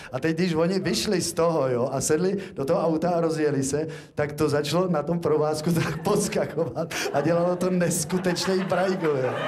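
Over light background noise, a man talks at a high pitch with fairly even intonation and hardly any pauses. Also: moderate pace. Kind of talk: comic stage banter and storytelling. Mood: playful, humorous. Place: stage. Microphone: handheld.

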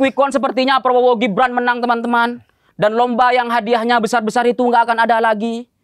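Extremely high-pitched male speech at a very fast pace, with very even loudness and a dry sound with no echo. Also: hardly any pauses. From Madura, Indonesia; Indonesia. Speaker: stand-up comedian. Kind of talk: stand-up. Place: stage. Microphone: handheld.

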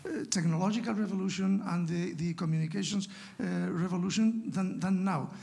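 A man speaks in a Spanish accent. His pitch is high, with ordinary variation. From Spain, La Rioja. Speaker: academic discussant; audience member. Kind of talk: academic discussion. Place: hall. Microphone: handheld.

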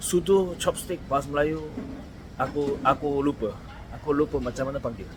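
Over noticeable background noise, a man with a Korean accent speaks at a moderate pace in a fairly high pitch with fairly even intonation. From South Korea. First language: Korean (speaking Malay). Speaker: vlogger. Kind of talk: casual vlog talking to camera. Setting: eating at a roadside restaurant; walking outdoors at night. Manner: halting, with many fillers and repetitions.

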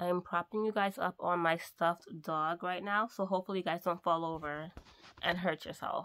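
Over a quiet background, a woman with a fairly low pitch speaks at a fairly quick pace in a bright, sharp tone with fairly even intonation. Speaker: mobile hairdresser vlogger. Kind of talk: casual vlog chat. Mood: annoyed ranting. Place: home room. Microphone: phone near.

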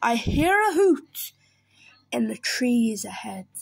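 A woman's put-on character voice, fairly high in pitch with big swings, vocal fry and a slightly husky edge, slow in pace, with faint music in the background.

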